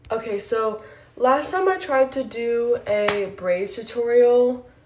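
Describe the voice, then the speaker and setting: Lively intonation comes through at a very slow pace, with noticeable background noise behind it. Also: woman, high pitch for a woman. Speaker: hair tutorial vlogger. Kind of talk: tutorial. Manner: out of breath.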